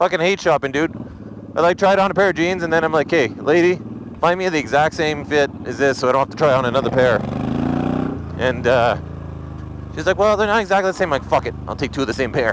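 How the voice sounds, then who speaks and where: Animated in tone, a man with a fairly high pitch races along at a very fast pace yet takes long, frequent pauses, in a dry sound with no echo over noticeable background noise. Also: ordinary pitch variation. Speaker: motovlogger. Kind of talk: angry rant, profane and venting, about being cut off by drivers. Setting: outdoors, recording a vlog while riding or stopped. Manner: loud, agitated, fast, swearing heavily; casual, rambling, animated. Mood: relaxed, joking, profane. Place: motorbike. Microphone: helmet.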